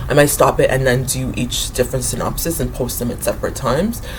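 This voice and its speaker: Speech comes at a very fast pace, with audible room echo and noticeable background noise. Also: woman. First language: not English; English is her third language. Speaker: writer and book vlogger. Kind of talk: casual talk to camera. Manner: hesitant, many fillers.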